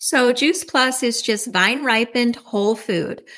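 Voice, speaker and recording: A woman's normal speaking voice, fairly high in pitch, at a moderate pace. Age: 60s. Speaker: networking group leader. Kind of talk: casual interview; sales pitch.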